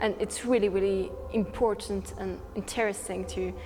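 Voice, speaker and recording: A woman with a French accent is heard with audible room echo and noticeable background noise. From France. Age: 18. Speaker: student youth activist. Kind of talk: interview. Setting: conference. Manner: hesitant.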